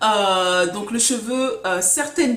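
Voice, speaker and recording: A woman talks very slowly with ordinary pitch variation, with audible room echo and noticeable background noise. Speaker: hair care vlogger. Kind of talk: casual tutorial vlog.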